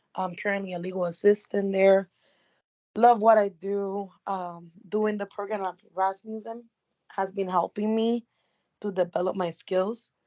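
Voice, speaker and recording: A woman with a strong Puerto Rican accent speaks at a fairly slow pace in a medium-pitched, dark, mellow voice with monotone, flat intonation, in a dry, close sound with no echo over a quiet background. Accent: thick Puerto Rican Spanish. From Puerto Rico. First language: Spanish. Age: 20s. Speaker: paralegal student, legal assistant. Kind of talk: self-introduction in class.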